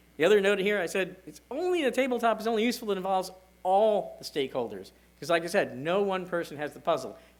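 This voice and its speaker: Room echo is audible as a man talks very fast in a high pitch. His intonation is lively. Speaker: security director giving a conference talk. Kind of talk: conference presentation.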